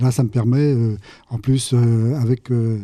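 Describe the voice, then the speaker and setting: Dark, mellow tone in a medium-pitched male voice. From Normandy, Cotentin. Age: 70s. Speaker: amateur trumpet player. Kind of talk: interview testimony. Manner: halting.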